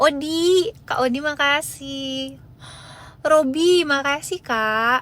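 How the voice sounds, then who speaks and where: A woman's high voice in a West Javanese accent, very slow, with ordinary pitch variation. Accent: faint Sundanese in Indonesian. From West Java (Bandung). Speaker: live-stream seller. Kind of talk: live stream chat. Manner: casual, chatty.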